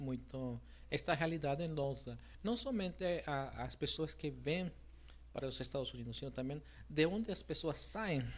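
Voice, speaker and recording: A man with a Spanish accent at a moderate pace, broken by long, frequent pauses. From Mexico. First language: Spanish (speaking Portuguese). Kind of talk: interview. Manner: hesitant, many fillers.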